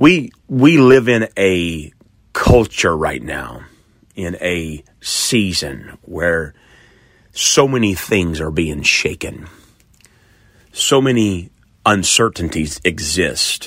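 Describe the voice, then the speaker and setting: The delivery, in an American accent, is very slow with long, frequent pauses. Pitch swings are very wide. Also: man, very deep, low pitch for a man. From Oklahoma. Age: 40s. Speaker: pastor. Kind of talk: sermon. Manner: hesitant with fillers.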